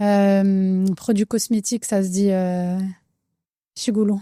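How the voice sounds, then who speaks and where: A woman's dark, mellow voice with a slight Algerian accent, dry and close with no echo, on a very clean recording with a silent background. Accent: slight accent in Algerian Arabic, judged mild. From France, Algerian family. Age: 30s. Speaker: cosmetics entrepreneur. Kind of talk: casual interview. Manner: many fillers, code-switching French and Arabic.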